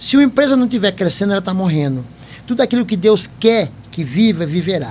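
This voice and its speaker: Speaking at a fairly quick pace, a man with a high pitch makes very wide pitch swings. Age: 70s. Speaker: company founder and podcast host. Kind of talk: interview chat.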